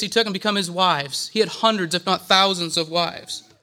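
In a raised, projected voice with a bright, sharp tone, a man speaks at a fairly quick pace and with fairly even intonation on a very clean recording over a silent background. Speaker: church speaker. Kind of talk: sermon. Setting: church.

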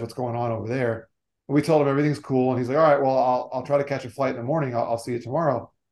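With an American accent, a man talks at a medium pitch and with fairly even intonation. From South Florida. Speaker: motivational speaker on generosity. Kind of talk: interview.

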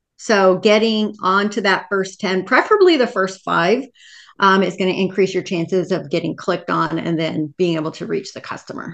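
In a normal speaking voice, a woman talks at a moderate pace and medium pitch against a quiet background. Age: 50s. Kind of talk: casual interview.

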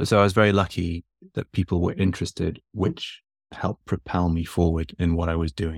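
A man's very deep, low voice, fairly quick and monotone, with a dry, close sound and no echo. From northern England. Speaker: physiotherapist. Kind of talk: interview conversation.

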